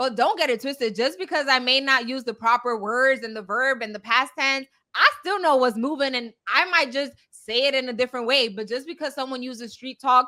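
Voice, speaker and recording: Her voice is raised and projected, with a bright, sharp tone and a high pitch. The woman moves at a fairly quick pace with ordinary pitch variation. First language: not English. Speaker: podcast co-host. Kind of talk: casual chat.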